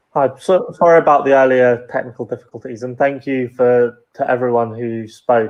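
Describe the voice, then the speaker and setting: With a British accent, a man speaks at a moderate pace in a medium pitch, his intonation fairly even. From UK, Cypriot family. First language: Greek. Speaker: panel speaker. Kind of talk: prepared speech.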